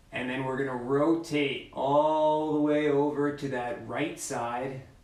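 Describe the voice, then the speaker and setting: The voice moves at a very slow pace in a flat monotone, with audible room echo and noticeable background noise. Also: man, fairly high pitch for a man. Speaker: mobility instructor. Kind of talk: guided exercise class. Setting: video call. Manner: loud; slow, instructive.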